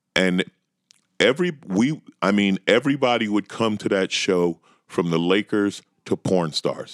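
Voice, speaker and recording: Through a dry, close sound with no echo, a man with an American accent uses a normal speaking voice at a fairly low pitch, with ordinary pitch variation and a fairly slow pace. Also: very even loudness. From New York. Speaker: stand-up comedian. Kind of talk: casual chat.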